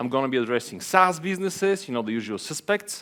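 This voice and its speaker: A man with an Eastern European accent talks at a fairly high pitch, his voice making very wide pitch swings. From Bulgaria. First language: Bulgarian. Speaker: venture capital investor. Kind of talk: conference talk. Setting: stage with audience. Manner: hesitant, many fillers.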